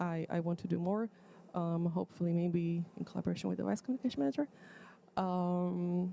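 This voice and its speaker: At a fairly quick pace, a woman with a non-native accent speaks in a dark, mellow tone at a fairly low pitch, with ordinary pitch variation and very even loudness. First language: not English. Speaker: student organization board candidate. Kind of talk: presentation of a plan at an assembly. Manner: halting, many fillers.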